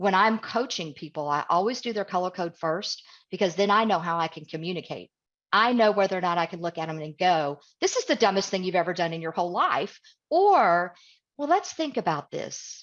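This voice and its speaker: A woman with an American accent has an unremarkable speaking voice at medium pitch with ordinary pitch variation. She talks at a fairly quick pace against a quiet background. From US South, East Tennessee. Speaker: communication coach, guest speaker. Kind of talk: webinar talk. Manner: direct.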